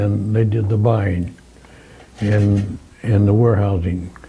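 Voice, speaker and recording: In a room with audible echo, a man with an American accent speaks fairly slowly at a fairly low pitch, his dark, mellow tone somewhat breathy and his intonation fairly even. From US Midwest, Quincy, Illinois. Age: 90s. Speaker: war veteran. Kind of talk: oral history interview. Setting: conference room. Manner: halting.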